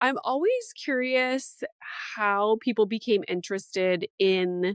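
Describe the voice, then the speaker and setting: With a Canadian accent, a woman with an unremarkable speaking voice talks at a fairly slow pace, her pitch varying in an ordinary way, in a dry, close sound with no echo. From Canada. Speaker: podcast host. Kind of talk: casual interview.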